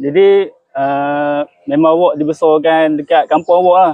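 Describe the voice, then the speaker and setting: The speaker is a man with a Perak accent and a fairly high pitch. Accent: Perak Malay dialect. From Malaysia, Perak (Kuala Kangsar). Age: young. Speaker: student. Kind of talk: interview.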